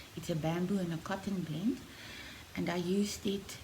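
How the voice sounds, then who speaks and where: A woman speaks with fairly low pitch and fairly even intonation. Room echo is audible. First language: Afrikaans. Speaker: knitting podcaster and yarn seller. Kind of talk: casual tutorial podcast. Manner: halting, many fillers and repeats.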